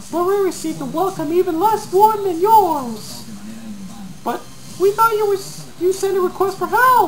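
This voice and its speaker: Amid clear background noise, a put-on character voice squeaks out at an extremely high pitch. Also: moderate pace. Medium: read story. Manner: blunt, direct.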